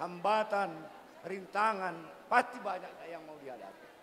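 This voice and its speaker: Against noticeable background noise, a man with a high pitch speaks at a fairly slow pace. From Batak village, North Sumatra. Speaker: bride's uncle giving wedding speech. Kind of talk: ceremonial speech.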